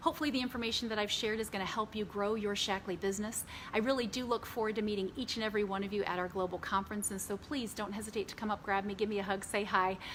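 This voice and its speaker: A woman at a very fast pace with hardly any pauses, over noticeable background noise. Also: medium pitch for a woman. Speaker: business trainer. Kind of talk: training talk. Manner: animated.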